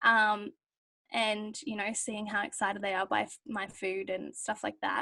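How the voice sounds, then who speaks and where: A woman with an Australian accent speaks at a medium pitch in a bright, sharp tone with fairly even intonation. Her pace is fairly slow, and the recording is very clean with a silent background. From rural Australia, Victorian border area. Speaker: university student. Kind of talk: casual chat.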